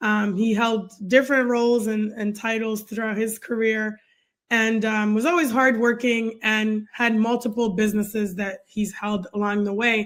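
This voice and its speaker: On a very clean recording with a silent background, a woman speaks at a moderate pace in a monotone, flat intonation. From Canada, French-speaking, born in West Africa. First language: French. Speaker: nurse and career coach. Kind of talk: podcast interview.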